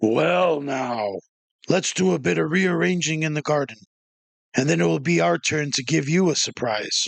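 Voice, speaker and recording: Putting on a character voice, a man growls in a raspy tone at medium pitch with very wide pitch swings. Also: moderate pace. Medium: read story.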